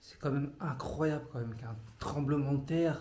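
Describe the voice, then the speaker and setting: A man's fairly high voice at a moderate pace, with fairly even intonation and audible room echo. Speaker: travel vlogger. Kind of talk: casual vlog talk to camera. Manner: hesitant, many fillers.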